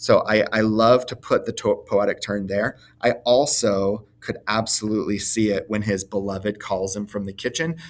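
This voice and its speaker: With an ordinary speaking voice, a man talks at a moderate pace with hardly any pauses. His pitch is fairly low and his intonation fairly even. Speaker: teacher. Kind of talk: recorded lesson. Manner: filler-heavy, casual.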